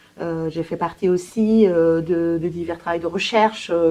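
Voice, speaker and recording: A woman with a Spanish accent, fairly low-pitched, with a dark, mellow tone and fairly even intonation. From Colombia. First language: Spanish (speaking French). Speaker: language therapist. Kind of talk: professional self-presentation. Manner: hesitant, many fillers.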